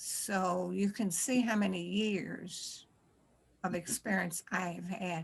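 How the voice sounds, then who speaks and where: A woman with vocal fry, talking at a very slow pace. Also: medium pitch for a woman, fairly even intonation. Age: 80s+. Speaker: community elder. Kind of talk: panel discussion.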